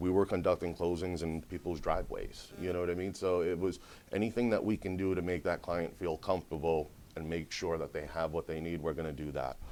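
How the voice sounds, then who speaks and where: The recording is very clean and the background silent. The man's pitch is very deep and low. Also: fairly even intonation, fairly quick pace. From Rhode Island (East Providence), moved from Brazil at seven. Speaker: sales and marketing director at a law firm. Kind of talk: casual business interview. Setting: mortgage company office.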